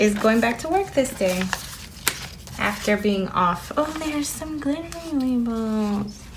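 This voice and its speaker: Fairly high-pitched female voice with lively intonation, amid noticeable background noise and audible room echo. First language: Spanish. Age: 30s. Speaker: planner vlogger. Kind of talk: casual chat. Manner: hesitant with fillers.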